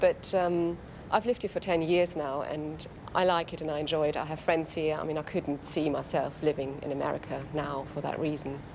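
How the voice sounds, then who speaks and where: In a German accent, a woman speaks with a very deep, low pitch. Her pace is fairly quick and her intonation fairly even. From Germany. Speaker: interviewee. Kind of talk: interview. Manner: hesitant with fillers.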